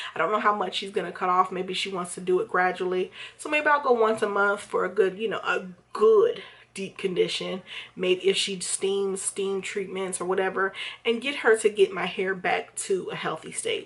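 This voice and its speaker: A woman's medium-pitched voice with fairly even intonation at a moderate pace, noticeable background noise behind her. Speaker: hair vlogger. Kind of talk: casual vlog review. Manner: rambling, hesitant with fillers.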